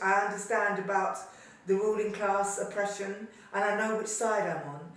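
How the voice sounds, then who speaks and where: A woman at a moderate pace in a monotone, flat intonation, with audible room echo and noticeable background noise. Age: 70s. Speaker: activist and former journal editor. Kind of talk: interview testimony.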